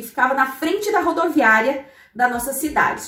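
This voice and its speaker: Over music in the background, a woman talks at a moderate pace with lively intonation. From Santa Catarina highlands, southern Brazil (Curitibanos). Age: 30s. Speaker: economist and finance blogger, podcast host. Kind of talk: personal storytelling monologue; motivational talk.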